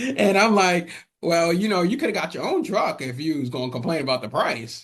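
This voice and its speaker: Speaking at a fairly quick pace in an American accent, a high-pitched man moves through very wide pitch swings. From Atlanta, US South. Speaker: former mover and music studio owner. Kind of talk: podcast interview.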